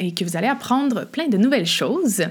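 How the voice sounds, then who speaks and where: A woman talks in a Quebec accent. Her pace is moderate. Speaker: podcast host, hiking coach. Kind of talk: solo podcast monologue. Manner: casual with frequent fillers and laughs.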